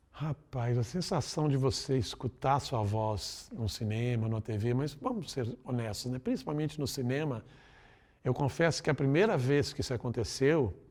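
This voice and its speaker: A man's somewhat breathy, medium-pitched voice at a moderate pace with ordinary pitch variation, on a very clean recording with a silent background. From Brazil, Minas Gerais (Belo Horizonte). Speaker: voice actor and musical theatre performer. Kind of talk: interview. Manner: casual, conversational.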